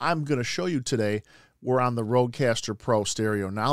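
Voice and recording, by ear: On a very clean recording with a silent background, a man speaks at a moderate pace.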